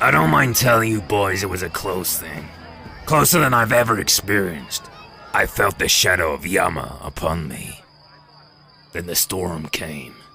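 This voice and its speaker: Over music in the background, a man uses a cartoonish character voice with a very deep, low pitch, a moderate pace, and long, frequent pauses. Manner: brash, hearty.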